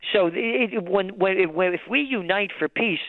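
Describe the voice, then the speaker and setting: A man's high-pitched voice with a New York accent. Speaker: trends forecaster and publisher. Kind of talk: interview. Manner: animated.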